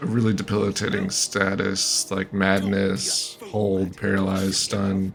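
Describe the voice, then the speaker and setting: With music playing behind him, a man with a fairly low voice speaks at a fairly slow pace in a monotone, flat intonation. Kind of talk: gameplay commentary.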